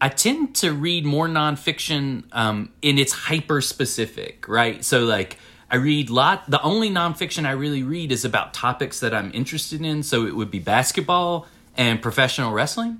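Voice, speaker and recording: Lively intonation and a bright, sharp tone with an American accent, in a very clean recording with a silent background. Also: man, moderate pace. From US South, Winchester, Tennessee. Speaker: author. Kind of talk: casual chat. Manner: halting, many fillers.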